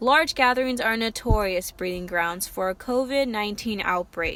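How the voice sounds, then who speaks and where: A woman with a fairly high pitch talks at a moderate pace in an ordinary speaking voice, showing ordinary pitch variation. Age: 20s. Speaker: student journalist. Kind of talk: news report. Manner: formal.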